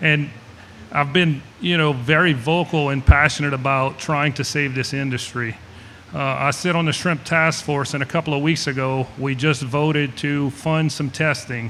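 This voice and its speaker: The speaker is a man with a fairly high pitch. He keeps a moderate pace and fairly even intonation. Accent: South Louisiana. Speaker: shrimper and seafood business owner. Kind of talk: panel discussion. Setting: festival panel with audience.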